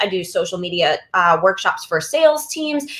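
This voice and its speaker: A woman speaks loudly with an American accent. Her pace is fairly quick. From US East Coast. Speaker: social media speaker and trainer. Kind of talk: webinar presentation. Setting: virtual session. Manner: fast.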